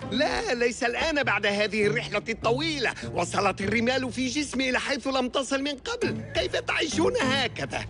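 A man in a put-on character voice speaks at an extremely high pitch, raised and projected, in a pompous, whiny tone that sounds whiny throughout. He goes at a fairly slow pace with hardly any pauses and very even loudness, over clear background music. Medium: cartoon. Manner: pompous, whiny, demanding.

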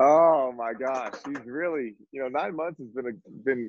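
The recording is dry with no echo as a man of medium pitch speaks at a fairly quick pace. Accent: American. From northern Virginia, near Washington D.C. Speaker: football coach and former quarterback; football coach. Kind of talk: casual chat. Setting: video call. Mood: relaxed, laughing at times. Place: home room. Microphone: webcam.

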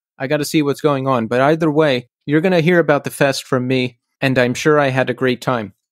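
A man with a normal speaking voice talks at a moderate pace and fairly even intonation, recorded very cleanly with a silent background and a dry, close sound with no echo. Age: 40s. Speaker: podcast host. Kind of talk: solo intro and outro monologue; casual interview chat.

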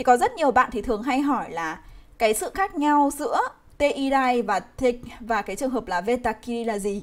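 With lively intonation and a high pitch, a woman speaks at a moderate pace. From Vietnam. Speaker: Japanese language teacher. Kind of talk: live online grammar lesson. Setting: livestream. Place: home room. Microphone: webcam.

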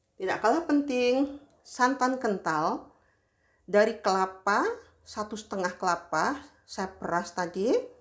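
A woman with a fairly high pitch and lively intonation speaks at a very slow pace against a quiet background. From West Sumatra (Padang, Minangkabau); West Sumatra. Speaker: home cooking vlogger. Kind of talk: cooking tutorial. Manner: casual, chatty. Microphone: phone near.

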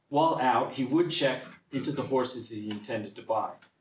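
A man at a fairly quick pace with ordinary pitch variation, amid audible room echo. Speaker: presenter. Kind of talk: lecture. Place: meeting room. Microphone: camera far.

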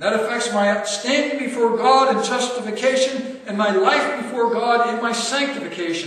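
A man with an extremely high pitch at a moderate pace, fairly bright tone and ordinary pitch variation, few pauses, and strong room echo

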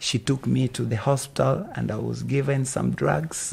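Speaking at a moderate pace, a man talks with a Kenyan accent. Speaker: gospel singer and church founder. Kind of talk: interview. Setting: outdoors on a playground. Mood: earnest, personal. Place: street. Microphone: handheld.

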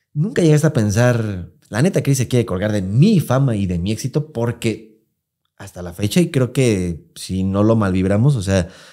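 A man speaks with a Mexican accent in a fairly low, dark, mellow voice, using lively intonation at a fairly slow pace over a quiet background. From Mexico. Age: 30s. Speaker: podcast host. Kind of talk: casual chat. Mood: candid, personal storytelling. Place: studio. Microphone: studio mic.

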